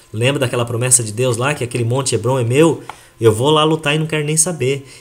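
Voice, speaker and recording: Noticeable background noise runs behind a man whose voice sits at a medium pitch. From Brazil (Japanese-Brazilian). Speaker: health product presenter. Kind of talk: sales presentation to audience. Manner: animated.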